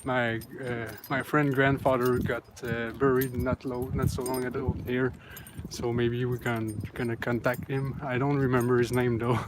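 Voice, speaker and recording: The speaker has a Quebec accent and a moderate pace. Noticeable background noise runs underneath. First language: French. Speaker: ghost hunting vlogger. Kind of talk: casual vlog narration while walking. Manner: halting, many fillers.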